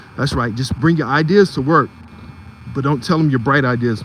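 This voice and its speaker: Over noticeable background noise, a man with an American accent talks at a fairly high pitch with ordinary pitch variation. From Philadelphia, US. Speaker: live streamer and photography channel host. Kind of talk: live stream commentary. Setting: outdoors on a street at night.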